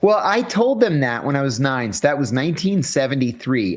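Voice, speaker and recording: An ordinary speaking voice from a man with an American accent, fairly high in pitch, lively in intonation, at a moderate pace, on a very clean recording with a silent background. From US, rural Western Pennsylvania. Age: 60s. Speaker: former CIA officer. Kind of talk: interview.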